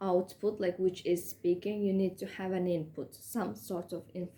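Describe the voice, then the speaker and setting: A woman with a dark, mellow tone and a non-native accent. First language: not English. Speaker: English learner, student. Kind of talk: educational talk to camera. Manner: halting, many fillers.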